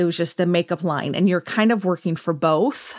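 This voice, in a Southern Californian accent, shows ordinary pitch variation. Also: woman, very clean recording, silent background. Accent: Southern California American. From US West Coast, Orange County, California. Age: 40s. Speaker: esthetician and podcast host. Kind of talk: casual monologue. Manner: chatty, often laughing.

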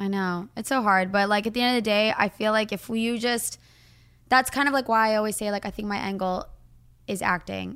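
A woman's unremarkable speaking voice, fairly high and fairly quick, on a very clean recording with a silent background. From moved around the US (California, Arizona, Florida). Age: 20s. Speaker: social media influencer. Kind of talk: casual chat.

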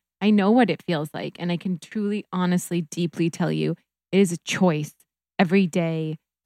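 On a very clean recording with a silent background and a dry, close sound with no echo, a woman with a fairly low pitch and an American accent speaks at a moderate pace with fairly even intonation in an ordinary speaking voice. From US Midwest (North Dakota). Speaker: reiki practitioner. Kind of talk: casual chat; guided meditation.

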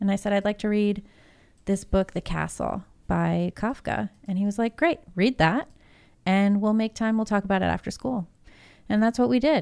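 A woman's medium-pitched voice, a plain, everyday voice, at a moderate pace with ordinary pitch variation on a very clean recording with a silent background. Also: dry, close sound with no echo. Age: 40s. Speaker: news editor. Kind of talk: political talk show discussion.

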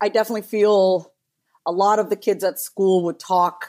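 With a dark, mellow tone, a woman talks at a medium pitch. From New York, Indian immigrant family. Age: 30s. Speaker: therapist and business strategist. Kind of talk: casual chat. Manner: animated.

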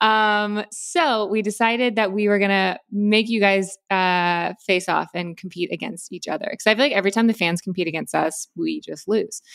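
A woman talks in a normal speaking voice at a medium pitch and a moderate pace. She uses ordinary pitch variation and hardly any pauses. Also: very clean recording, silent background. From Florida. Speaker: podcast host and actress. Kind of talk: casual chat.

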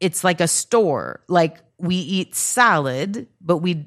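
Against a quiet background, a woman speaks in a normal speaking voice, fairly low in pitch, with ordinary pitch variation. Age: 40s. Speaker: comedian. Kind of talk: casual chat.

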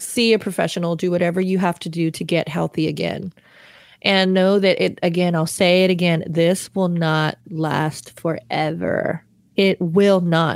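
At a moderate pace, a woman speaks in a flat monotone at a fairly low pitch. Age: 30s. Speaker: worship leader. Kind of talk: testimony.

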